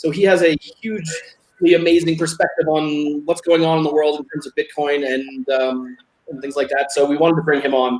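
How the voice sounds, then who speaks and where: The speech runs at a fairly quick pace with fairly even intonation. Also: man, fairly high pitch for a man. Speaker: show host. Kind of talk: casual chat. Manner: fast.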